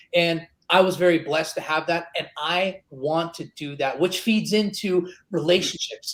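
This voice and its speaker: A man speaks loudly in a high voice with an animated tone. His pace is moderate. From Middle East, Greek family. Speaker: e-learning company co-founder. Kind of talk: podcast interview.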